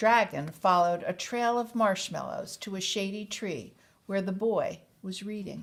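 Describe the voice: The speaker delivers plain reading aloud.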